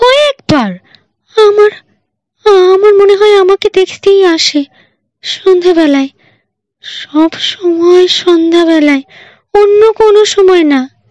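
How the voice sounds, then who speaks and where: A female-sounding, put-on character voice pitched extremely high moves along at a fairly slow pace. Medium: read story. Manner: impatient, agitated.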